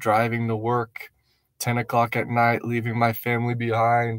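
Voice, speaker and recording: The speech moves at a fairly slow pace. The background is quiet and the sound dry, with no echo. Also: man. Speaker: missionary vlogger. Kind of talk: casual vlog chat. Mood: reflective, grateful. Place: car. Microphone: phone near.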